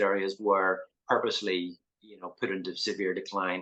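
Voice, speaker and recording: A man is speaking here. He has a Northern Irish accent. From Northern Ireland, Belfast. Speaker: artist. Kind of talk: interview. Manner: hesitant, many fillers.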